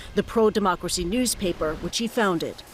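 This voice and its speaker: A woman's medium-pitched voice at a fairly quick pace over noticeable background noise. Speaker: TV news correspondent. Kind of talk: TV news field report. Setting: outdoors.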